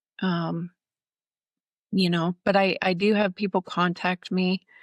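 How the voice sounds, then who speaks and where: A woman at medium pitch, very slow, with monotone, flat intonation, in a very clean recording with a silent background and a dry, close sound with no echo. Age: 60s. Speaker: nutritionist and author living with chronic pain. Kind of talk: podcast interview.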